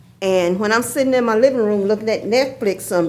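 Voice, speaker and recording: With a Georgia accent, a woman with fairly high pitch and lively intonation speaks amid audible room echo. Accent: Southern US (Georgia). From Athens, Georgia (US South). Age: 70s. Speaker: retired postal worker, public commenter. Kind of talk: public comment at council meeting. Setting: city hall meeting chamber. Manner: halting, with repetitions.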